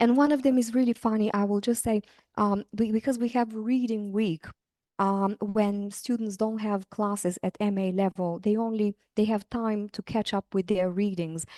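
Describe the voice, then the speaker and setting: A woman with a non-native accent talks at a moderate pace in a dark, mellow tone, her fairly high pitch following a fairly even intonation, with a dry, close sound with no echo. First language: not English. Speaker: university lecturer. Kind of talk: interview. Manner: hesitant, many fillers.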